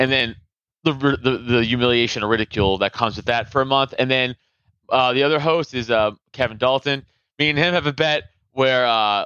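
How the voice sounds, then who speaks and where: A man with an unremarkable speaking voice, medium pitch, ordinary pitch variation and a moderate pace. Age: 30s. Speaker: comedian and podcaster. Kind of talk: casual chat.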